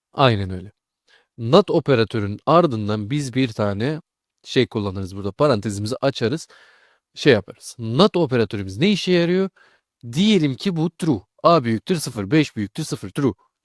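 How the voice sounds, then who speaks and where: Recorded very cleanly against a silent background, with a dry, close sound and no echo, a man talks at a moderate pace at a medium pitch, his voice swinging very widely up and down. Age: 20s. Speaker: programming tutor. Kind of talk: tutorial. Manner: casual.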